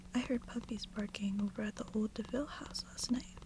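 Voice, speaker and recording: Someone soft-spoken whispers at a moderate pace over noticeable background noise. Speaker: ASMR reader. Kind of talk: sleep story. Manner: whispered, soft-spoken.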